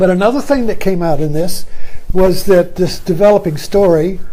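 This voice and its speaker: In an American accent, a man with a high pitch speaks with ordinary pitch variation, audible room echo around him. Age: 80s+. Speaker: retired teacher and video commentator. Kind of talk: casual monologue. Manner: halting, many fillers.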